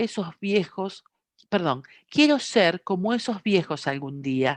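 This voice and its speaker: Over a quiet background, a woman speaks very slowly at a medium pitch with very wide pitch swings. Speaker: meeting translator and reader. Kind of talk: reading aloud; meeting discussion.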